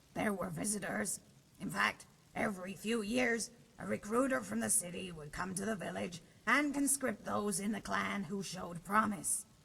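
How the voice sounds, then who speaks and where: A woman uses a raspy, put-on character voice at a medium pitch. Her pitch swings very widely. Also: moderate pace. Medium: machinima. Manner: dry, wry humor.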